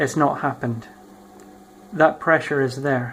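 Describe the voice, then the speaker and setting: A man with a fairly high pitch talks at a moderate pace, his intonation fairly even. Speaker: YouTuber. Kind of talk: casual vlog monologue. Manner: halting, many ums and ahs.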